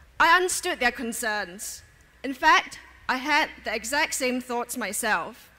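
With music in the background, a woman uses a raised, projected voice at a high pitch, her intonation lively and her pace very slow. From Singapore. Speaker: election candidate. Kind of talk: rally speech, a prepared political address to a crowd. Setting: outdoor election rally with crowd. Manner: formal, earnest and persuasive; measured, building rhetorical questions and repeated closing appeals. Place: stage. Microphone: podium.

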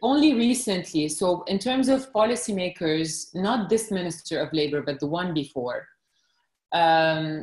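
The speaker goes at a fairly slow pace. Room echo is audible, and the background is quiet. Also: woman. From Lebanon. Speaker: journalist. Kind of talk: podcast interview answer. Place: home room. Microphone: video call.

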